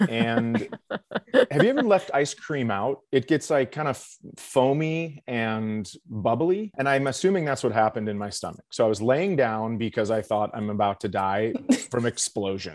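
A man talks in an ordinary speaking voice at a medium pitch, with lively intonation and hardly any pauses. His moderate pace comes through in a dry, close sound with no echo. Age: 40s. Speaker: comedian. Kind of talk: casual chat. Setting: video call from home.

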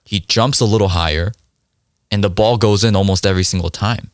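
The man's voice sits at a fairly low pitch. The sound is dry and close, with no echo. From South Korea, raised in US from age 5. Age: 20s. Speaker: real estate investor. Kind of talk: interview conversation.

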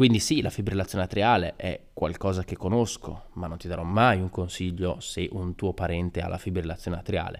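Talking at a fairly quick pace with hardly any pauses, a man speaks in a very deep, low pitch. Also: fairly even intonation. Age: 20s. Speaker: podcaster and young doctor. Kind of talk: solo podcast monologue. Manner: casual, with frequent hesitations.

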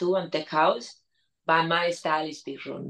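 With a Spanish accent, a woman speaks at a moderate pace with a very deep, low pitch and fairly even intonation. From Spain. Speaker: DJ and producer. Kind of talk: interview.

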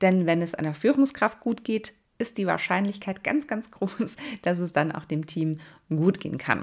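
A woman speaks a little slowly at a medium pitch, her intonation lively, in a normal speaking voice. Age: 30s. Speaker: podcast host and nursing leadership coach. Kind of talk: solo podcast monologue. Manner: warm, casual direct address.

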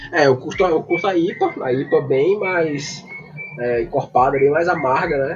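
Noticeable background noise under a man's moderate-paced speech, fairly high in pitch and with ordinary pitch variation. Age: 30s. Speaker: data scientist. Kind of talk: casual chat. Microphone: poor audio with dropouts.

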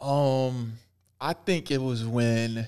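A man with an American accent speaks in an unremarkable speaking voice at a medium pitch, recorded very cleanly against a silent background. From Allentown, Pennsylvania. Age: young. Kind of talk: casual chat.

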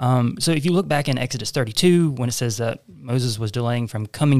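On a very clean recording with a silent background, a man speaks at a moderate pace and medium pitch in a plain, everyday voice. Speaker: co-host, church member. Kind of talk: casual discussion podcast on Bible reading.

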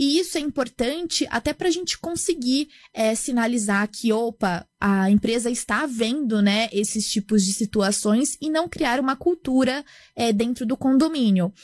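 An ordinary speaking voice from a woman, fairly high in pitch with lively intonation at a fairly slow pace, in a dry, close sound with no echo on a very clean recording with a silent background. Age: 20s. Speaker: startup founder. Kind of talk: interview.

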